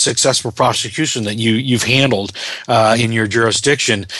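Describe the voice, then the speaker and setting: Noticeable background noise sits under a man speaking at a fairly quick pace. His intonation stays fairly even. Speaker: radio host. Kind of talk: radio interview, host. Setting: radio show. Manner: conversational, welcoming.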